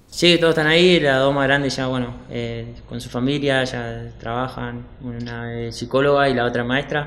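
The man speaks at a moderate pace. He hardly pauses at all. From Argentina, Patagonia (Chubut). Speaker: professional footballer. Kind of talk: casual interview. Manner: halting, many repetitions. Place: studio. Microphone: studio mic.

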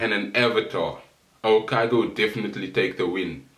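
There is audible room echo around a man's voice. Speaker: anime commentary youtuber. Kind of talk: casual vlog chat. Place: home room. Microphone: camera far.

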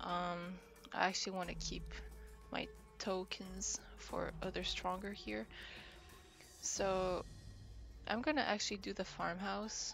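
A woman speaks at a fairly slow pace with long, frequent pauses while music plays in the background. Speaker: gamer. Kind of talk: casual gameplay commentary. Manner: quiet, soft-spoken.

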